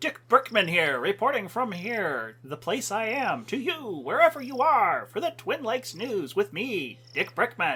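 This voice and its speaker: A put-on character voice swings very widely in pitch from a fairly high starting point. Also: moderate pace. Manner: ridiculous, self-important.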